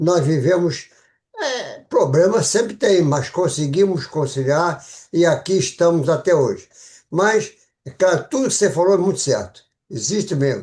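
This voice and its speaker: Lively intonation at a fairly slow pace against a quiet background. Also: man, high pitch for a man. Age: 90s. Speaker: retired cardiologist, club member. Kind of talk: audience comment. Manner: halting.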